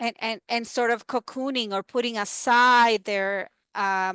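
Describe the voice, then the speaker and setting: A woman with a Spanish accent speaks at a moderate pace in a bright, sharp tone with fairly even intonation, with a dry, close sound with no echo and a quiet background. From Dominican Republic. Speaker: university educator and researcher. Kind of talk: talk and Q&A discussion.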